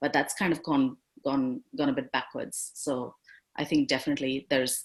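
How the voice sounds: A woman's extremely low voice with a slightly husky edge, fairly even intonation and a moderate pace.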